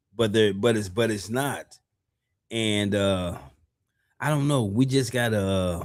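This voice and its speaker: A man at a fairly slow pace with ordinary pitch variation, in audible room echo. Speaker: podcast host. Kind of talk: casual chat.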